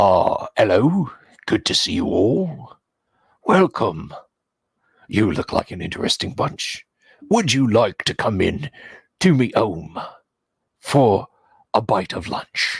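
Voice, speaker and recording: A man's raspy, put-on character voice at medium pitch, fairly slow, with long, frequent pauses. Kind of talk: genteel. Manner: polite and welcoming.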